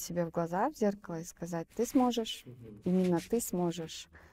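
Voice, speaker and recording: This woman has a medium pitch and a dark, mellow tone. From Fergana Valley, southern Kyrgyzstan; southern Kyrgyzstan. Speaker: film director and entrepreneur. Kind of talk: interview. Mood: calm, thoughtful. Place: studio. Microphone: lapel.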